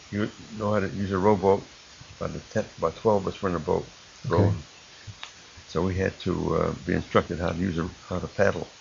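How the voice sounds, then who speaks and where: A man's very deep, low voice with an American accent, very fast pace, long and frequent pauses, fairly even intonation, and noticeable background noise. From Illinois, Chicago area. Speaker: war veteran. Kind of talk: oral history testimony. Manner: halting.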